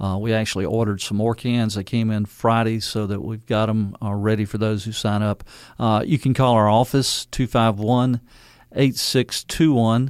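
Man with a Louisiana accent at a moderate pace, fairly even intonation, in a very clean recording with a silent background. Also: medium pitch for a man. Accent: Louisiana Southern. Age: 60s. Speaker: mayor. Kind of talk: radio interview. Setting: studio.

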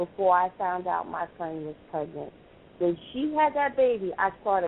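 A plain, everyday voice with lively intonation at a fairly slow pace. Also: woman. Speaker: caller. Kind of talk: call-in question. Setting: phone call.

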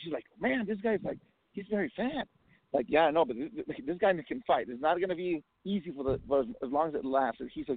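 Sounding excited, a man talks at a fairly quick pace in a high pitch that swings very widely. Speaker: caller. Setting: phone call. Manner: excited, emotional.

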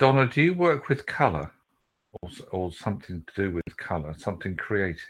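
Speaking with a British accent at a moderate pace, the voice shows very wide pitch swings and big swings in loudness. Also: man, fairly low pitch for a man. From Britain. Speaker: psychic reader. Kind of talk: live psychic reading.

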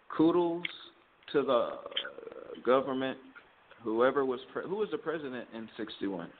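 Speaking at a fairly slow pace with long, frequent pauses, a man uses a fairly high pitch and lively intonation over noticeable background noise. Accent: American. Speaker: podcast co-host. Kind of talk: casual chat.

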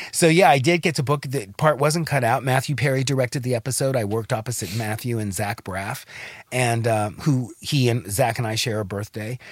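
A man with a plain, everyday voice, an American accent, medium pitch, ordinary pitch variation and a fairly quick pace, in a very clean recording with a silent background. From Los Angeles. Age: 60s. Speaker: actor. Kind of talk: casual chat.

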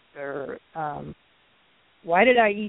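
Lively intonation in a woman's voice of medium pitch. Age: 60s. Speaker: color therapy practitioner in training. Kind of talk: personal testimony. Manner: halting, many fillers.

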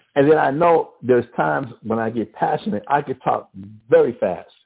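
A man's Southern US accent, with vocal fry and a slightly husky edge.

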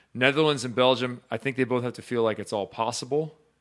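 An ordinary speaking voice belongs to a man talking at a fairly quick pace with ordinary pitch variation. The recording is very clean, with a silent background. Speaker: volleyball show host. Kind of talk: casual sports talk show chat. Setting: live stream show.

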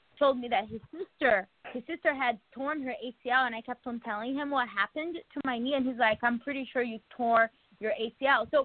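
The speaker is a woman with a high pitch. Her pitch varies in an ordinary way. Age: 40s. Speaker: former reality show contestant. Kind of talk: casual chat.

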